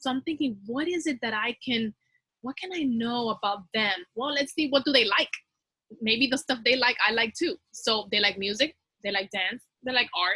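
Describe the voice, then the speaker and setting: A woman with a Spanish accent speaks at a high pitch in a bright, sharp tone with lively intonation, and the sound is dry and close with no echo. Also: moderate pace. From Dominican Republic. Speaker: teacher. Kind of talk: teacher training presentation.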